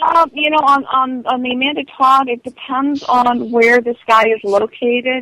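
A woman speaks in a high pitch with a raised, projected voice. The sound is dry and close, with no echo. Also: fairly even intonation, moderate pace. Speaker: advocate against online abuse. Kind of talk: casual interview.

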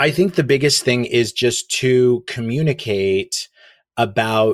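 On a very clean recording with a silent background and a dry, close sound with no echo, a man with an American accent uses a normal speaking voice at medium pitch with ordinary pitch variation. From Oklahoma. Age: 40s. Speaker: communications consultant. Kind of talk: interview.

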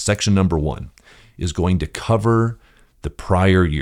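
Someone speaks with an American accent at a fairly slow pace, with lively intonation. The recording is very clean, with a silent background. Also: man. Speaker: podcast host and property management coach. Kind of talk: solo podcast monologue, instructional.

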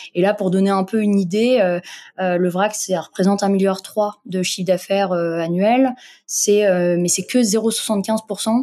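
A woman speaks in a dark, mellow tone with fairly even intonation. The recording is very clean, with a silent background. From Morocco. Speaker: entrepreneur, founder of an online zero-waste shop. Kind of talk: interview. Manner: halting, many fillers.

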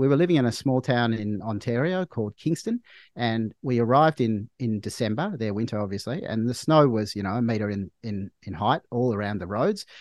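With an Australian accent, a man speaks at medium pitch with lively intonation. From Australia, Melbourne. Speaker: doctor. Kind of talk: casual chat. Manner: halting.

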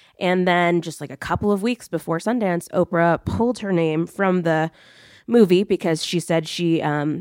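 On a very clean recording with a silent background, a woman with a plain, everyday voice speaks at a moderate pace and a fairly low pitch, the sound dry and close with no echo. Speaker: journalist. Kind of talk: roundtable discussion.

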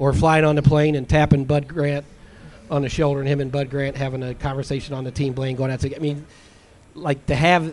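A man speaks with a fairly high pitch and monotone, flat intonation. Noticeable background noise runs underneath. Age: 50s. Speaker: sports columnist and author. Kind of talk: interview.

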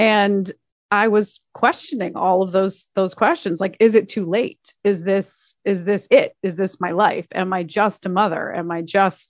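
Her voice sits at a medium pitch. The woman speaks at a moderate pace. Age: 40s. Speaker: author and performer. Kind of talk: casual chat. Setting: home office. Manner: animated.

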